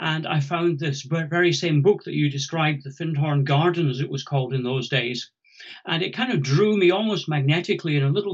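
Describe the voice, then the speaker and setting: The man's pitch is fairly high, with ordinary variation. He talks at a moderate pace. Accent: Scottish. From Scotland. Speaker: ecologist and conservation charity founder. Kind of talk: interview.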